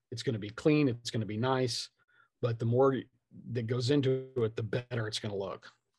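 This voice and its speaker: A man with a medium-pitched, somewhat breathy voice speaks with fairly even intonation. The background is quiet. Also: fairly quick pace. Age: 50s. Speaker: tabletop game designer. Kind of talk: casual interview chat. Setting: video call.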